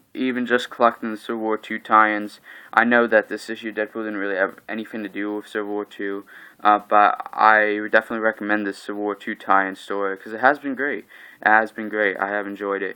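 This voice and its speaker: Big swings in loudness mark a man's bright, sharp, fairly low voice at a fairly quick pace. The recording is very clean, with a silent background. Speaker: comic book collector vlogger. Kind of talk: casual monologue review. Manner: flat, not very animated; hesitant, many fillers.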